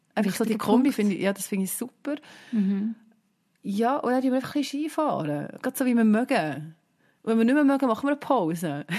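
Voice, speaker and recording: A woman with a Swiss accent talks at a very fast pace, her pitch swinging very widely. Her tone is dark and mellow, and the background is quiet. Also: fairly high pitch for a woman. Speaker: podcast co-host. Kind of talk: casual chat. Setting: video call.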